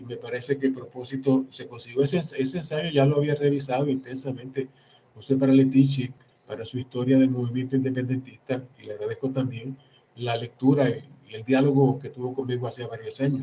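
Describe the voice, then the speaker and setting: A man speaks at medium pitch with monotone, flat intonation and a dark, mellow tone. His voice is somewhat breathy, with big swings in loudness. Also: fairly quick pace. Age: 60s. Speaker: historian and author. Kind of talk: book presentation talk. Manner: halting, with repetitions.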